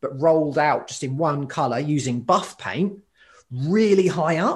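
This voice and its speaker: Somewhat breathy, a man talks at a fairly high pitch and a fairly slow pace. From UK. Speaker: occupational therapist and graffiti writer. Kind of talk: casual interview.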